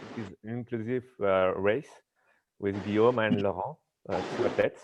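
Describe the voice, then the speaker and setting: A man speaks at a fairly low pitch with a French accent. The background is quiet. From France. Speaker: paracanoe classifier and health coach. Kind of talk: live Q&A on a video stream. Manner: halting.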